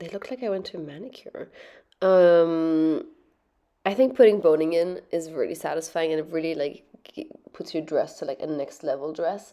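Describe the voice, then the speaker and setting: A woman with a dark, mellow tone speaks at a moderate pace in a fairly low pitch with ordinary pitch variation. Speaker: sewing youtuber. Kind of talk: tutorial. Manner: casual, filler-heavy.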